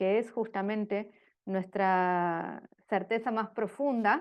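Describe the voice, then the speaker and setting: A woman talks with a fairly high pitch and fairly even intonation. The background is quiet. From Argentina. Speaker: religious sister, speaker on governance. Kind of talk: lecture. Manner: halting, many fillers.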